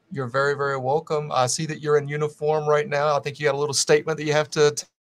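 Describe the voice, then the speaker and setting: Talking at a very fast pace, a man with an American accent holds a fairly high pitch in a monotone, flat intonation. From US South. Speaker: podcast host. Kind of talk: podcast interview.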